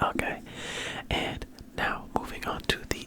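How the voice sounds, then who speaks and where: A man whispers in a relaxed tone at a fairly slow pace. Noticeable background noise sits behind him. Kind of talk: ASMR sports talk. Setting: home studio with mic arm. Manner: whispered; soft-spoken, relaxed.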